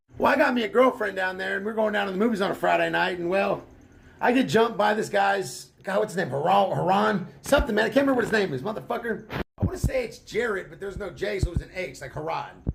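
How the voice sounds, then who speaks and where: A man's high voice with an American accent, very fast, animated and lively in intonation, with big swings in loudness. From Missouri, US Midwest. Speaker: storyteller. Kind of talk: storytime monologue.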